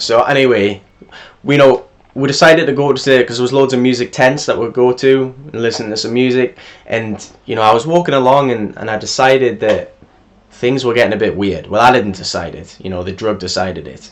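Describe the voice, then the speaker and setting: A man talks fairly quickly at medium pitch with ordinary pitch variation. His loudness swings widely, and background noise is noticeable. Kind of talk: casual storytelling over gameplay.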